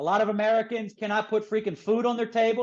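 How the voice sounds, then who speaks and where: A man's high-pitched, animated voice with a Philadelphia accent, over a quiet background. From Philadelphia, US. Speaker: author and publisher. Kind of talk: interview.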